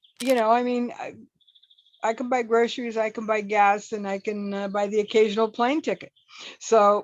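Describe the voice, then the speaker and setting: A woman in a normal speaking voice, fairly high in pitch, with an American accent at a moderate pace. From US Pacific Northwest, Seattle. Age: 60s. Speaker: former athlete and glamping host. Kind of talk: interview.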